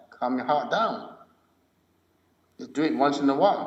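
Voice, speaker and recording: The pitch swings very widely, and audible room echo surrounds the voice. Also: man. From Malaysia. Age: 60s. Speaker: martial arts and mindfulness teacher. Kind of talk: podcast interview.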